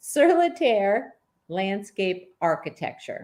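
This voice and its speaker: Very slow speech with very wide pitch swings. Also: woman. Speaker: club president hosting meeting. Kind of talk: meeting introduction. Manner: halting, many fillers.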